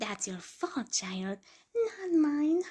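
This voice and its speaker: Very wide pitch swings in a put-on character voice. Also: woman, high pitch for a woman. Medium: read story. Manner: theatrical, exuberant.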